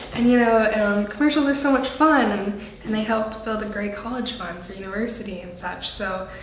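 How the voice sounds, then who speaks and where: A woman with a fairly high pitch talks at a fairly quick pace with ordinary pitch variation and big swings in loudness. Room echo is audible, and background noise is noticeable. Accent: Canadian. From Canada. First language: French. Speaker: actress. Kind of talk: interview. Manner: animated.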